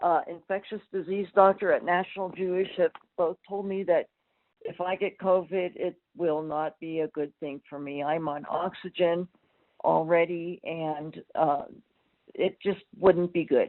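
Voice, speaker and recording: At a fairly slow pace, a woman speaks in a plain, everyday voice, fairly low in pitch, with fairly even intonation. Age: 60s. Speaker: caller. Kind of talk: call-in question. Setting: phone call.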